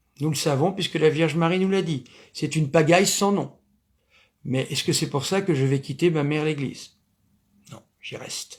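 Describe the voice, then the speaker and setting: A high-pitched man with ordinary pitch variation, on a very clean recording with a silent background. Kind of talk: lecture. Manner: loud; hesitant, many fillers.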